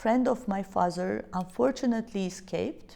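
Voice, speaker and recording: A woman with a Georgian accent at a moderate pace. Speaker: business leader. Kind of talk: interview. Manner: hesitant, many fillers.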